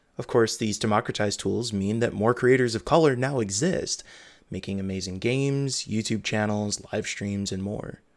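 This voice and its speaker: A man talks in a plain, everyday voice, fairly low in pitch with ordinary pitch variation. The recording is very clean, with a silent background. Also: moderate pace. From US Midwest. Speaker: podcast host and game journalist. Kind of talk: casual interview chat; reading aloud of own article.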